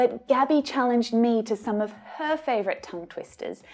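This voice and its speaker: A woman speaks with an Australian accent, high in pitch and with lively intonation. Music plays in the background. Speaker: English teacher. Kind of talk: tutorial.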